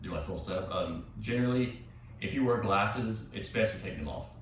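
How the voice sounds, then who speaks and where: A male speaker's voice echoes audibly in the room, with noticeable noise behind it. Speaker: yoga instructor. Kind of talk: guided yoga class. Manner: halting.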